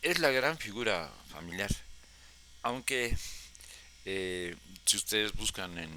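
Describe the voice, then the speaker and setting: A man speaks with a bright, sharp tone at a fairly low pitch. His pace is very slow, broken by long, frequent pauses. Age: 70s. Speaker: historian storyteller. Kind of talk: personal history talk. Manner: halting.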